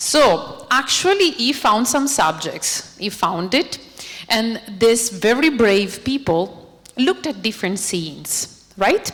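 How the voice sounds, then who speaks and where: In an Italian accent, a woman speaks at a very slow pace with a fairly high pitch and very wide pitch swings over noticeable background noise. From Italy. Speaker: robotics researcher. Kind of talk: lecture. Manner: animated.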